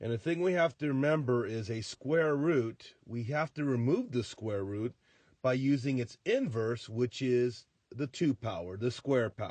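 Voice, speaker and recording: A man with an ordinary speaking voice talks at a fairly slow pace and medium pitch with ordinary pitch variation, in a dry, close sound with no echo over a quiet background. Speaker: high school math teacher. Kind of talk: tutorial.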